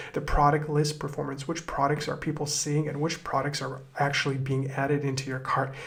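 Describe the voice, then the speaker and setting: A man with a fairly high pitch talks fairly quickly in a flat monotone, with audible room echo and noticeable background noise. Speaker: e-commerce marketing tutor. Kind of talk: screen-recorded tutorial.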